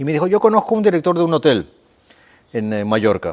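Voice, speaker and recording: A man's voice with very wide pitch swings. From Peru (Lima). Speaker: sports coach for children with ADHD. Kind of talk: casual chat.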